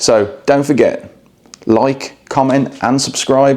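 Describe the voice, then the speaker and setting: Vocal fry marks this man's medium-pitched voice as he speaks at a fairly slow pace. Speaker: travel vlogger. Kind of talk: hotel review vlog. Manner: quiet, low volume; hesitant, many fillers.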